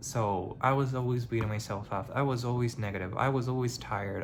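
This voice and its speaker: A man with a non-native accent and a medium pitch speaks at a moderate pace with fairly even intonation, his voice somewhat breathy amid audible room echo. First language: not English. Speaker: vlogger. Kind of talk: personal vlog monologue. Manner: halting; casual.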